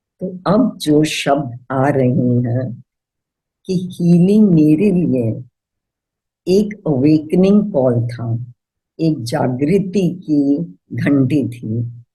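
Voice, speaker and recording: Her voice is very deep and low for a woman, somewhat breathy, with a dark, mellow tone. She has a non-native accent and lively intonation. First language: not Hindi (speaking Hindi). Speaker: healer. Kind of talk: personal testimony.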